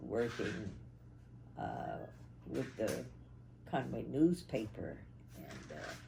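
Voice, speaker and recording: The speech moves at a very slow pace with long, frequent pauses and big swings in loudness. The tone is dark and mellow, with vocal fry. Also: woman. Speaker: interviewee recalling family history. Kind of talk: interview answer.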